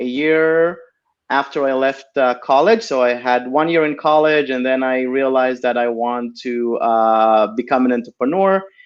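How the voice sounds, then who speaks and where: A man talks at medium pitch with fairly even intonation in an Israeli accent. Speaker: tech entrepreneur. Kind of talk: interview. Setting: live video stream. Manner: hesitant, many fillers.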